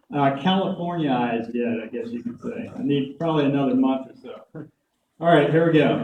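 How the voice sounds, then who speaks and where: A man with a fairly high voice speaks at a moderate pace with ordinary pitch variation. His loudness swings a lot, and room echo is audible. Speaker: conference speaker. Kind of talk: presentation talk. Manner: hesitant fillers.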